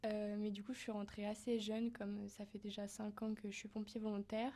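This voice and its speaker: A woman talks in a fairly high pitch with flat, monotone intonation. Her voice is somewhat breathy, dark and mellow. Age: 20s. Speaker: volunteer firefighter and nursing student. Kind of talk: interview. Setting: mobile TV studio in town hall.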